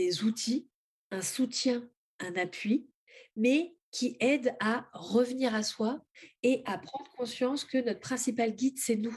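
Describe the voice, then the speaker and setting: Speaking at a very slow pace, a woman uses a high pitch with ordinary variation. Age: 30s. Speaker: spiritual author and oracle creator. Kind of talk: interview testimony.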